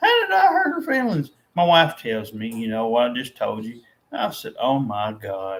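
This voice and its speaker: A man speaks at a moderate pace. His loudness rises and falls sharply. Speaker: vlogger. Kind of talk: casual monologue. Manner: halting, many repetitions.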